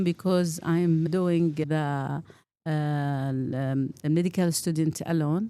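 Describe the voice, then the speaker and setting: A woman with a Saudi accent speaks at a very slow pace. Her tone is dark and mellow, her pitch fairly low. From Saudi Arabia, Eastern Province. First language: Arabic. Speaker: pediatric pulmonologist. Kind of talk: interview.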